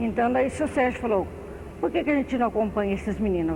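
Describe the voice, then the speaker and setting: Very fast speech from a woman, fairly high-pitched, with ordinary pitch variation. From Brazil, southern Minas Gerais. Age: 60s. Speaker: retired municipal social worker. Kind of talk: oral history interview. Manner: halting.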